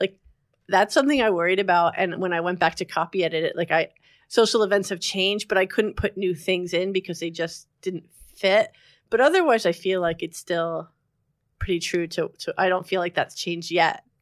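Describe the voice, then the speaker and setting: A woman speaks with an American accent in an unremarkable speaking voice, at medium pitch with ordinary pitch variation and a fairly quick pace. The recording is very clean, with a silent background and a dry, close sound with no echo. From New Jersey. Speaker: novelist. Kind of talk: interview.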